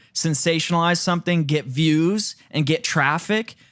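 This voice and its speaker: With an American accent, a man speaks in an animated tone at a moderate pace, his fairly high pitch showing ordinary variation. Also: very clean recording, silent background. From Michigan. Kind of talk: podcast discussion.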